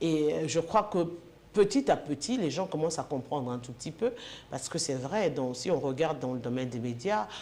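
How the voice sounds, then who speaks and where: Dark, mellow tone with lively intonation at a moderate pace. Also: woman, very deep, low pitch for a woman. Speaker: sports and political TV presenter. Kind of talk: interview.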